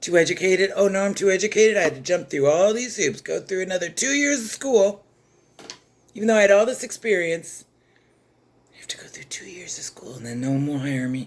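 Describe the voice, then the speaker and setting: Animated in tone, a woman at medium pitch talks at a fairly quick pace with very wide pitch swings and big swings in loudness. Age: 60s. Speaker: chess content creator and former teacher. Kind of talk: rant.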